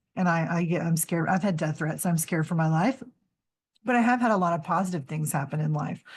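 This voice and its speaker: At a very fast pace, the voice comes across somewhat breathy and very even in loudness, against a quiet background. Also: woman, fairly low pitch for a woman, ordinary pitch variation. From Louisiana, rural small town. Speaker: school librarian and anti-censorship activist. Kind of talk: interview conversation. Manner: hesitant, many fillers.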